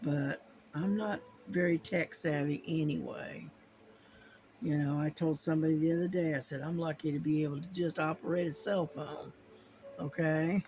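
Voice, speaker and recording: In an American accent, a woman speaks with a very deep, low pitch and fairly even intonation. Her moderate pace is broken by long, frequent pauses. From US, army family moving around. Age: 60s. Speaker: crafting YouTuber. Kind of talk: casual chat. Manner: halting, many fillers.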